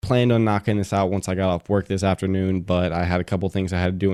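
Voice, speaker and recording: A quiet man's very deep, low voice with a dark, mellow tone, very fast delivery and flat, monotone intonation, on a very clean recording with a silent background. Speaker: podcast host. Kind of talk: casual solo podcast talk.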